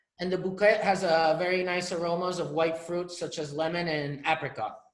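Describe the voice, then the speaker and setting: Room echo is audible as a man speaks at a moderate pace. His pitch is high for a man, with fairly even intonation. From Catalonia, Spain. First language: Spanish or Catalan. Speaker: winery representative. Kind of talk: online wine tasting presentation.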